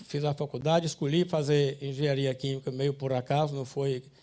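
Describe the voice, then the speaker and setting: The pace of speech is moderate. This is a very clean recording with a silent background. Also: man. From Ceará, Brazil (Sobral, Camocim). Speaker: industrialist. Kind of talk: life story talk. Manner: halting.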